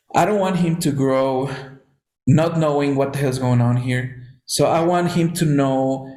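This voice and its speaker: A man at medium pitch with a Spanish accent and ordinary pitch variation, amid audible room echo. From Mexico. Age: 30s. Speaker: podcast host. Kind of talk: casual chat.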